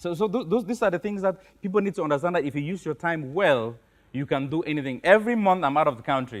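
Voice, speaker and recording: A man with a high-pitched voice talks at a very fast pace. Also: lively intonation. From Cameroon, Northwest region. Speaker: career consultant. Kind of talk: interview.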